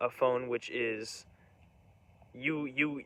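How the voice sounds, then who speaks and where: This man talks with fairly even intonation. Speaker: vlogger. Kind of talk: casual monologue. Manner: fast; rambling, halting.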